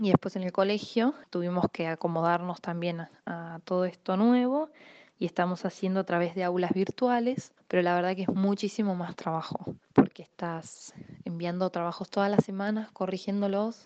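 A woman speaks at a moderate pace in a medium pitch, her dark, mellow tone showing ordinary pitch variation in a dry, close sound with no echo. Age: 30s. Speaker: music therapist and catechist. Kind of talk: testimony. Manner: hesitant, with repetitions.

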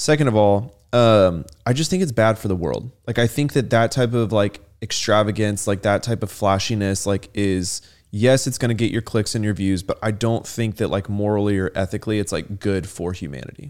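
Over a silent background in a very clean recording, a man with a plain, everyday voice speaks at a moderate pace and a fairly low pitch with ordinary pitch variation. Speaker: podcast co-host. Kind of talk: casual chat.

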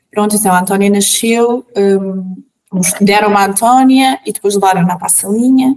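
This is a woman with an ordinary speaking voice. Her pitch sits in the medium range. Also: big swings in loudness. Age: 30s. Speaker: mother sharing birth stories. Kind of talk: personal testimony.

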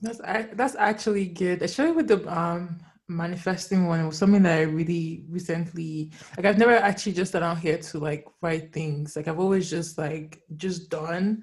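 A woman speaks at a moderate pace with a fairly low pitch. Her voice is somewhat breathy and her intonation fairly even. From Nigerian family background. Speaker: podcast host. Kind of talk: casual chat.

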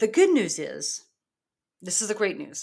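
A woman speaks in a normal speaking voice at a fairly high pitch and a moderate pace. The recording is very clean, with a silent background. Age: 40s. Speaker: life coach podcast host. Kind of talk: motivational solo monologue. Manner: casual, filler-heavy.

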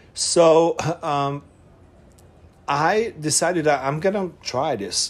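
On a very clean recording with a silent background, a man talks very slowly at a fairly high pitch, using ordinary pitch variation and long, frequent pauses. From Hungary, Budapest. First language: Hungarian. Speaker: production designer and former model. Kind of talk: casual interview chat. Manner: halting.

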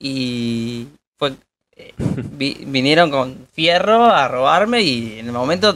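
A man with an Argentine accent and a medium pitch talks at a very slow pace, with lively intonation and big swings in loudness. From Argentina. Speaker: podcast co-host. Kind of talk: casual chat.

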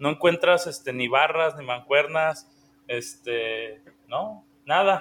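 Speaking with a Mexican accent, a man talks at a very slow pace. His pitch is fairly high. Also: lively intonation, big swings in loudness. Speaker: podcast co-host. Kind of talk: casual chat.

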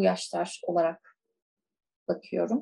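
Her tone is dark and mellow. This woman's voice carries some breathiness. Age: 20s. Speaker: school counselor. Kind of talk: casual chat.

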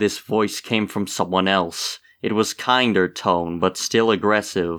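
Someone is reading aloud in a natural voice. The delivery is unadorned.

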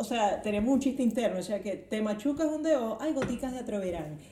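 A woman with a Venezuelan accent speaks at a moderate pace, her high voice full of lively intonation. Room echo is audible, and background noise is noticeable. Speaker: podcast host. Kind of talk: casual chat.

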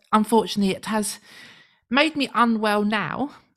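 A British accent at a moderate pace on a very clean recording with a silent background. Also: woman. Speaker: radio show co-host. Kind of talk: casual chat.

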